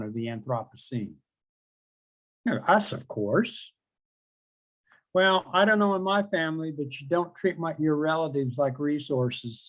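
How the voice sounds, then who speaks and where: Pausing long and often, a man with a slight Oklahoma accent speaks at a moderate pace with a fairly high pitch, lively intonation and big swings in loudness. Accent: Oklahoma twang, slight. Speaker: professor. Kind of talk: lecture. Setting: webinar.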